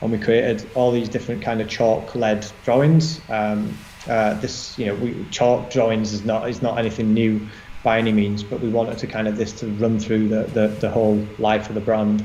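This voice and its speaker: In a Yorkshire accent, a man speaks at a moderate pace with a medium pitch and flat, monotone intonation. Audible room echo and noticeable background noise fill the recording. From northern England, Barnsley, South Yorkshire. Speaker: designer, creative director. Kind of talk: interview chat. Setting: live online session. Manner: halting, many fillers.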